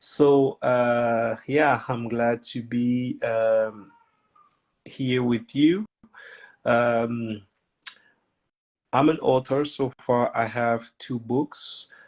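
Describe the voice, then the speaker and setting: A man at a very slow pace in a French accent, with long, frequent pauses and fairly even intonation. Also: medium pitch for a man. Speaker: children's author. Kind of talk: interview. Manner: halting, many fillers.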